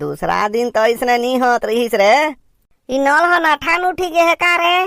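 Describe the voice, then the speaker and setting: A cartoonish character voice pitched high. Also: moderate pace. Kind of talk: cartoon comedy.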